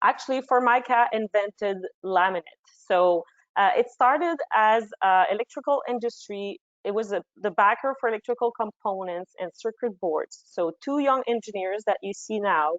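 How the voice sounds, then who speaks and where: At a moderate pace, a woman talks with a fairly high pitch. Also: lively intonation. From Quebec. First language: French. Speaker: marketing manager. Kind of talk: webinar presentation.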